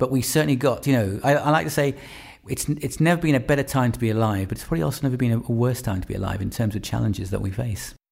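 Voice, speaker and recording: Recorded very cleanly over a silent background, a man of medium pitch speaks very fast in a somewhat breathy voice. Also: lively intonation. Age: 50s. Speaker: consultant psychiatrist. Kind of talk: interview. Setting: conference venue.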